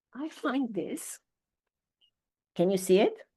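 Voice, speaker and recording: A woman with a dark, mellow tone and a somewhat breathy, fairly high voice speaks at a very slow pace with lively intonation. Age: 60s. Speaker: psychotherapist and leadership mentor. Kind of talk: interview conversation.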